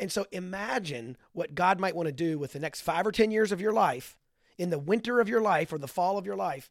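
In a very clean recording with a silent background, a high-pitched man talks at a fairly quick pace with lively intonation. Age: 50s. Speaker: author and men's ministry leader. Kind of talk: casual interview.

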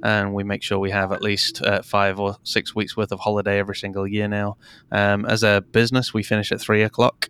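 A man with an English accent, fairly low pitch and monotone, flat intonation at a fairly quick pace, in a very clean recording with a silent background and a dry, close sound with no echo. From England. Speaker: digital marketing podcaster and entrepreneur. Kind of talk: interview conversation.

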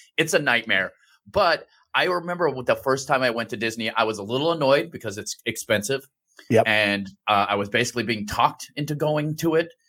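Bright and sharp in tone, a man with a medium pitch speaks at a fairly quick pace with lively intonation. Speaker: podcast co-host. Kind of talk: casual chat.

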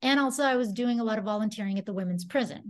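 The voice is somewhat breathy with ordinary pitch variation, against a quiet background. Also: woman. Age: 40s. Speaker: musician and prison chaplain. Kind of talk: casual chat.

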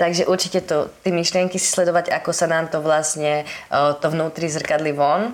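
In a normal speaking voice, a woman talks at a moderate pace with a fairly low pitch, fairly even intonation and very even loudness. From western Slovakia, Holíč. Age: 20s. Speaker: life coach and entrepreneur. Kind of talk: interview.

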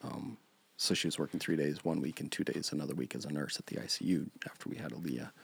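Very fast speech with vocal fry comes through in an American accent. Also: man, very deep, low pitch for a man, ordinary pitch variation. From Montana. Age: 30s. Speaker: churchgoer sharing life story. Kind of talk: personal testimony.

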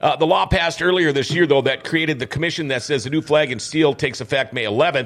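Fairly high for a man, this voice has ordinary pitch variation and is an ordinary speaking voice. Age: 50s. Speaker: radio host. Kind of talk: casual interview chat.

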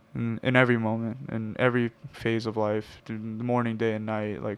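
A man's unremarkable speaking voice, medium in pitch, with fairly even intonation at a moderate pace. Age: 20s. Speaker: podcast host. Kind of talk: casual chat; podcast intro.

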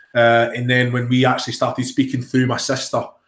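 The speaker talks with a slight Glaswegian accent in a monotone, flat intonation. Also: man. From Scotland, Glasgow area. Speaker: footballer. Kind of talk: interview. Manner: halting.

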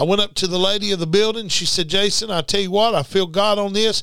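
Bright and sharp in tone, a man speaks with high pitch. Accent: American. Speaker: preacher. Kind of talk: sermon. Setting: radio studio. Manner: animated, preacherly; emphatic, repetitive.

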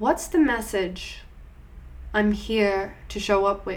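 The woman's voice is fairly high, with vocal fry and a soothing, gentle tone. She talks at a very slow pace. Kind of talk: guided meditation. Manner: slow, soothing and gentle, with calm pauses, coaxing the listener inward.

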